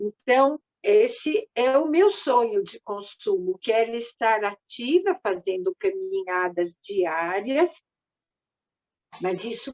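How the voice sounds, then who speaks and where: Very wide pitch swings run through this woman's high voice as she speaks at a very slow pace. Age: 70s. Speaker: psychotherapist and group coordinator. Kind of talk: online group talk. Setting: video call.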